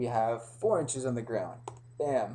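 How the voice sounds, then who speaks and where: Audible room echo accompanies a man speaking at a medium pitch. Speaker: pre-algebra teacher. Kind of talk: lecture. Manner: hesitant, many fillers.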